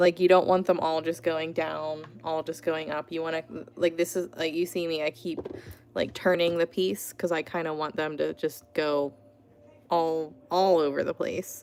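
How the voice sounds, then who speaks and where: A woman with an American accent speaks at a moderate pace. Her voice is fairly low, with monotone, flat intonation. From Pittsburgh, Pennsylvania, US. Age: 30s. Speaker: artist. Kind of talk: live stream art tutorial and chat. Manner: casual, chatty with many fillers.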